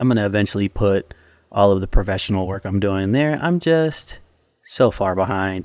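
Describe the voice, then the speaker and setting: Against a quiet background, a man with an unremarkable speaking voice talks at a moderate pace in a fairly low pitch with ordinary pitch variation. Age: 40s. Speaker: podcast host and creative professional. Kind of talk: podcast intro monologue; casual interview chat.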